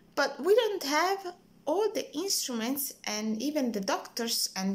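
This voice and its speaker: A woman with an Italian accent speaks at a fairly slow pace. Her pitch swings very widely. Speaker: hospital worker. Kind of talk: personal video message. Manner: hesitant, many fillers.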